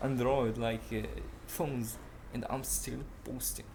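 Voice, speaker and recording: Speaking at a fairly slow pace, a man has a medium pitch and a non-native accent. Room echo is audible. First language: not English. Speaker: self-improvement podcaster. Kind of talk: casual monologue. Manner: halting; animated. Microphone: laptop mic, poor audio quality.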